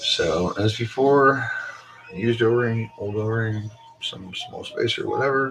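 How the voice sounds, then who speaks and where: The speaker goes at a fairly slow pace against noticeable background noise. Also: man. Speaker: RC hobbyist YouTuber. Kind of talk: tutorial. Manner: casual.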